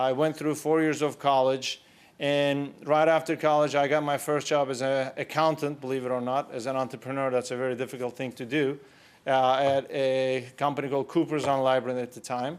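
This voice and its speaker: A man speaks at a fairly high pitch with a Turkish accent. His pace is fairly quick and his intonation monotone and flat. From Turkey (Istanbul). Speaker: entrepreneur. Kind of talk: conference talk.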